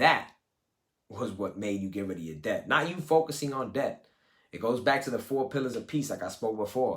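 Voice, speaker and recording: An animated man with a New York accent and vocal fry, at a medium pitch and moderate pace. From US Northeast, Brooklyn, East New York. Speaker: life coach. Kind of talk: live coaching session talk. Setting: live video call. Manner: casual, animated.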